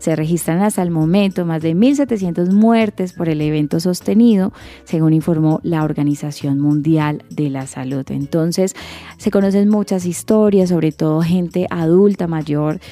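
Over noticeable background noise, a woman speaks fairly slowly with fairly low pitch and ordinary pitch variation. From Colombia, Cali. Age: 30s. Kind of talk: radio magazine show, casual chat and news segments.

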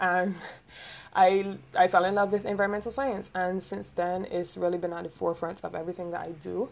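A woman speaks with a Barbadian accent. Her pitch varies in an ordinary way. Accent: Barbadian (Bajan) English. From Barbados. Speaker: podcaster. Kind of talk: casual solo monologue. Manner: fast talker; animated.

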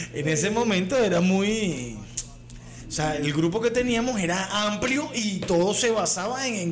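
With a Caracas accent, a man speaks at a high pitch and a moderate pace with lively intonation and audible room echo. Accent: Venezuelan Spanish (Caracas). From Venezuela. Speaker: comedy podcast co-host. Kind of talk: casual chat.

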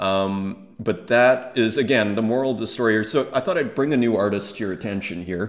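The man talks fairly quickly at a medium pitch, varying it by an ordinary amount. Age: 40s. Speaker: artist and NFT collector podcaster. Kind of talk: casual solo video commentary.

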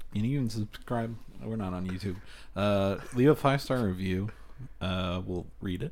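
The speaker uses a normal speaking voice at a moderate pace. Pitch variation is ordinary. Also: man, fairly low pitch for a man. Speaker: podcast co-host. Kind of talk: casual chat.

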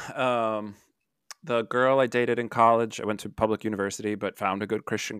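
An unremarkable speaking voice from a man, fairly low in pitch, at a moderate pace, dry and close with no echo, on a very clean recording with a silent background. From Milwaukee, Wisconsin. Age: 30s. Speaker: marriage and family therapist. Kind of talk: podcast interview. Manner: casual, many fillers.

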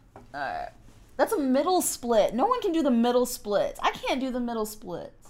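A woman's high-pitched, animated voice at a moderate pace, with very wide pitch swings over noticeable background noise. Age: 20s. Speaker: fitness podcast co-host. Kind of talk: casual chat.

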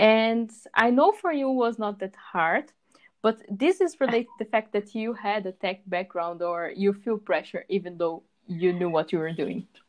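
A woman speaks in a plain, everyday voice at a moderate pace. Her intonation is lively. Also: medium pitch for a woman. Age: 20s. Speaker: aspiring web developer, podcast co-host. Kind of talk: casual chat.

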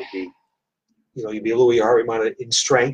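A man's medium-pitched voice in a flat monotone. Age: 60s. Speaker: fitness gym owner and podcast host. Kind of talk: casual interview. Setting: studio at a gym.

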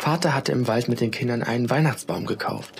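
Someone is reading. The voice is unforced.

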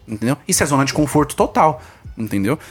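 This man's fairly quick speech has lively intonation and a somewhat breathy quality. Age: 20s. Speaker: online entrepreneur with students. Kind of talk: casual chat.

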